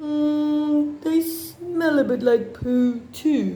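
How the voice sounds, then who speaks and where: A high-pitched put-on character voice at a very slow pace. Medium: read story. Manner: slow, gullible.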